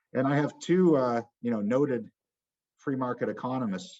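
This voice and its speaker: This man talks at a moderate pace in a Boston accent. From Massachusetts, Boston area. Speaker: economics professor. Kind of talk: lecture.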